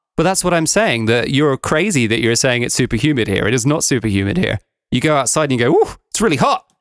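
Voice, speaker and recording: A man's animated, very fast speech at a medium pitch with lively intonation, in a very clean recording with a silent background. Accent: English. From England. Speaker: podcast host, tour operator. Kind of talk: casual chat.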